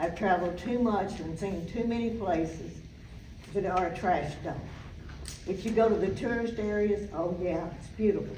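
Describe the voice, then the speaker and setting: Noticeable background noise and audible room echo surround this recording. A woman with a Southern US accent speaks at a moderate pace, her medium pitch held in fairly even intonation. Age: 80s+. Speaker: resident speaking at public comment. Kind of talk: public comment at council meeting. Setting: city council meeting, at microphone.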